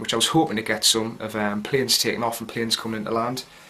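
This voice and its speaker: Rattling along at a very fast pace, a man with a Geordie accent keeps a fairly low pitch and fairly even intonation. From North East England, Gateshead. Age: 20s. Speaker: soldier. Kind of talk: video diary. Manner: casual, hesitant with fillers.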